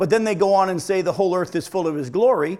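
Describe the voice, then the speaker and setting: A man with a high-pitched voice. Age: 50s. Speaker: pastor. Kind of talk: sermon.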